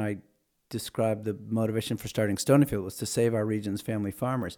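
On a very clean recording with a silent background, a man speaks at a medium pitch in a dark, mellow, monotone voice. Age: 60s. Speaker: organic food entrepreneur. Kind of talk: casual interview. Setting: at home, morning conversation. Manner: halting with fillers.

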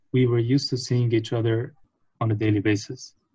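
The man's tone is dark, mellow and somewhat breathy. He speaks at a medium pitch with monotone, flat intonation. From Lebanon, Beirut. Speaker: marketing professional at consumer goods company. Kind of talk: casual chat.

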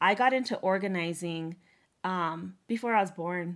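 The recording is very clean with a silent background. A woman with an American accent speaks at a moderate pace in a fairly low pitch with ordinary pitch variation. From US, Montana (Northern Cheyenne Reservation). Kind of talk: interview. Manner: halting, many fillers and repetitions.

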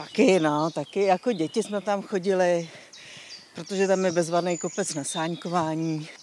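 A woman speaks with fairly even intonation at a fairly low pitch. She has an ordinary speaking voice. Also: moderate pace. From Czech Republic, Příbram. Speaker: gallery owner. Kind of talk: casual chat. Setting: outdoors.

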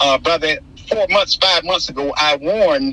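With noticeable background noise, a man in an American accent speaks at a moderate pace. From Florida, St. Petersburg. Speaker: activist and author. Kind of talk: interview.

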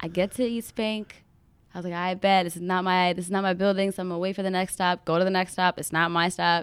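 A woman with an American accent talks very fast at a medium pitch in a monotone, flat voice, on a very clean recording with a silent background. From Minneapolis, Minnesota. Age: 20s. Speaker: university student. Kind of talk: casual chat.

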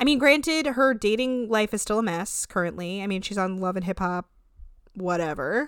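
In a very clean recording with a silent background, a woman with a normal speaking voice talks at a moderate pace, medium in pitch with lively intonation. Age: 30s. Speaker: podcast co-host recapping reality TV. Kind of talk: casual chat.

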